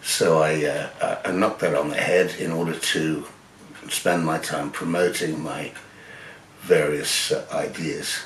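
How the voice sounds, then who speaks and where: A man with an English accent, with noticeable background noise and audible room echo. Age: 70s. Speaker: photographer. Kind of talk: personal storytelling. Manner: halting, many fillers.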